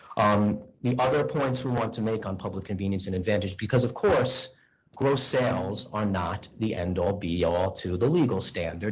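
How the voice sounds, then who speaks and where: Against noticeable background noise and audible room echo, a man speaks at a fairly low pitch. His intonation is lively, his pace moderate, with hardly any pauses. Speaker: attorney. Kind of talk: formal hearing presentation; heated debate. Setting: board meeting hearing room. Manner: loud.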